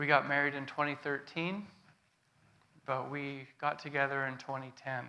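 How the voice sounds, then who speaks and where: In a Canadian accent, a bright, sharp tone moves at a moderate pace with monotone, flat intonation and long, frequent pauses, against audible room echo. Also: man, fairly high pitch for a man. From Canada, British Columbia (Prince George). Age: 40s. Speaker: guest speaker giving testimony. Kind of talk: sermon testimony. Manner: halting, many fillers.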